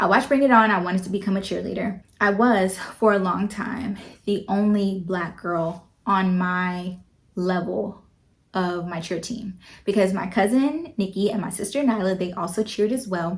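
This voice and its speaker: A somewhat breathy voice at a moderate pace, its pitch varying in an ordinary way. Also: woman, medium pitch for a woman. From North Carolina, US. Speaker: vlogger. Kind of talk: personal vlog monologue. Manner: animated.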